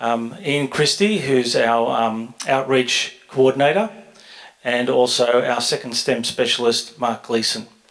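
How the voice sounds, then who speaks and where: Over noticeable background noise, a man with a medium pitch speaks at a fairly slow pace with ordinary pitch variation. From Australia, Greek background. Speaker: education centre director. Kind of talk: formal presentation. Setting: board meeting with audience.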